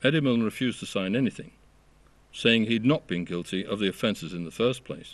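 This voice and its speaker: Moving at a fairly quick pace, the speaker has a plain, everyday voice with ordinary pitch variation. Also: man, medium pitch for a man. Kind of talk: documentary narration.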